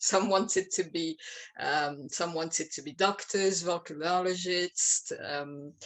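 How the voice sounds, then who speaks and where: In a French accent, a woman speaks very slowly at a fairly low pitch, her intonation fairly even but her loudness swinging widely. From France. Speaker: playwright. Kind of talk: interview. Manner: halting.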